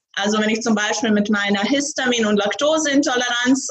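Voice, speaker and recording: A woman with a Croatian accent, fairly high-pitched, at a moderate pace with ordinary pitch variation. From Croatia, Zagreb. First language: Croatian (speaking German). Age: young. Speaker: startup founder. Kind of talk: interview.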